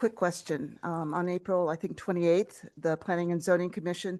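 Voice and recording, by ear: Using a put-on character voice, a woman sounds raspy and fairly low-pitched at a moderate pace.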